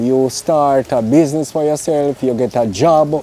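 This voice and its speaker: A man speaks with a Jamaican accent at a fairly slow pace. Noticeable background noise runs underneath. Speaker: interviewer. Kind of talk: interview.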